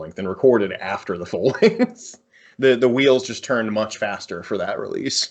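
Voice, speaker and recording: An ordinary speaking voice from a man with an American accent, medium in pitch and moderate in pace. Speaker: metal musician. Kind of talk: casual interview.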